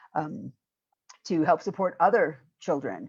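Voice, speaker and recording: The woman talks against a quiet background. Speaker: minister doing charity work in Kenya. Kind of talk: conference Q&A talk.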